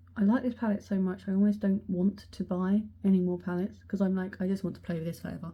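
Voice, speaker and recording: A soft-spoken woman with an English accent, somewhat breathy, with a dark, mellow tone, medium pitch and a fairly quick pace. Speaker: beauty vlogger. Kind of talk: casual chat. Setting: close to the camera. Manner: animated.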